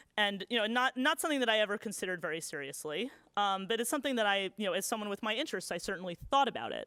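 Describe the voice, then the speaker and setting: In a very clean recording with a silent background and a dry, close sound with no echo, a woman with an American accent races at a very fast pace with hardly any pauses, a fairly high pitch, lively intonation and a bright, sharp tone. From United States. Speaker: novelist and literary scholar. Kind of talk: lecture Q&A. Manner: casual, many fillers.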